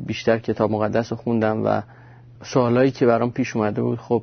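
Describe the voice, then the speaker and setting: A man speaks with monotone, flat intonation. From Iran. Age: 20s. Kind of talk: testimony. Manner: casual, halting.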